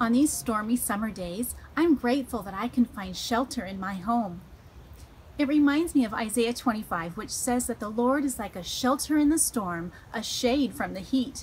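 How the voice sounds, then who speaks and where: A woman talks at a moderate pace with lively intonation over light background noise. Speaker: children's ministry host. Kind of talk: children's devotional talk. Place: garden. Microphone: phone near.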